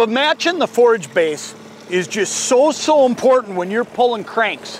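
A man talks at a moderate pace with lively intonation. The sound is dry with no echo, over light background noise. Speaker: fishing show host. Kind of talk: tutorial. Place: boat. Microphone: lapel.

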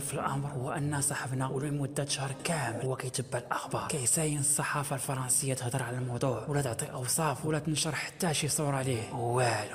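Over noticeable background noise, a man with a Moroccan accent speaks at medium pitch and a moderate pace with hardly any pauses. His loudness stays very even and his intonation fairly even. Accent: Moroccan Darija. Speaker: YouTube storyteller. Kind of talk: casual storytelling to camera.

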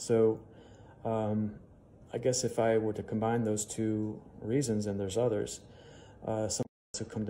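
A dark, mellow, monotone voice with an American accent over light background noise. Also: man. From US Midwest (Chicago). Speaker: museum curator. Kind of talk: Q&A monologue for social media. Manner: hesitant with frequent fillers. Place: home room. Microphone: phone near.

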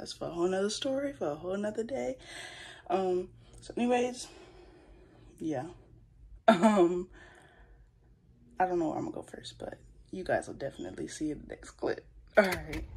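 A woman speaks at a moderate pace with very wide pitch swings, big swings in loudness, and long, frequent pauses. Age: young. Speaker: vlogger. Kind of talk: casual talk to camera.

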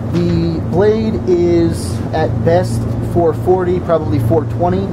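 Loud background noise is present throughout. Over it, a man talks. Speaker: soldier reviewing a knife. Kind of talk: casual review talk. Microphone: phone near.

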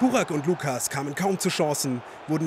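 Over noticeable background noise, a man sounds energetic, his fairly high voice moving with lively intonation. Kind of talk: sports commentary recap. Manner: brisk, energetic, narrating play-by-play in past tense.

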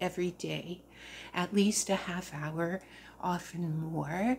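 A woman's somewhat breathy voice, fairly even in intonation, at a very slow pace over light background noise. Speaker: crafter vlogger. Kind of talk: casual vlog chat. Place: home room. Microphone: phone near.

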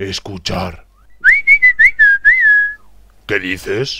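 A man performs a cartoonish character voice with a bright, sharp tone, vocal fry and low pitch. He speaks at a very slow pace with little pitch movement.

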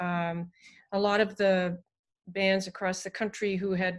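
A woman at a medium pitch speaks with monotone, flat intonation in a quiet setting. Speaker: university music professor. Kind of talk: online panel discussion. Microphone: video call.

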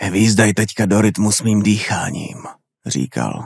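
A man speaks at a fairly slow pace in a dark, mellow tone, recorded very cleanly against a silent background with a dry, close sound and no echo. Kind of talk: horror audiobook reading, scripted narration of a Lovecraft story. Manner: slow, atmospheric, ominous narration with creeping dread.

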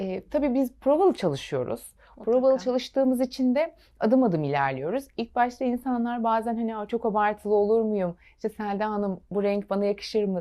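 A woman talks at a fairly quick pace with hardly any pauses. Her intonation is lively. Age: 30s. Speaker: fashion designer. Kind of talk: TV interview.

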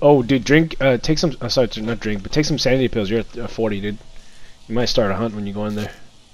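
The man's pitch is medium, and his speed is fairly quick. It's a plain, everyday voice with ordinary pitch movement. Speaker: gamer. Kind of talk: casual chat. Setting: voice chat while gaming online. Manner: excitable.

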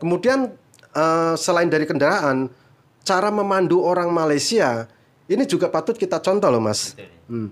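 On a very clean recording with a silent background, the voice moves at a moderate pace with very wide pitch swings. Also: man, high pitch for a man. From Indonesia. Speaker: migrant worker and YouTuber. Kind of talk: casual interview.

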